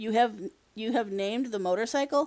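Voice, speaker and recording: A woman performs a put-on character voice at a fairly high pitch with ordinary pitch variation. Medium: read story. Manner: careful, formal.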